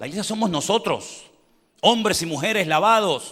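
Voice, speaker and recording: The voice is raised and projected, with a bright, sharp, animated tone and lively intonation. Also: man. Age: 60s. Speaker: pastor. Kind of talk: sermon.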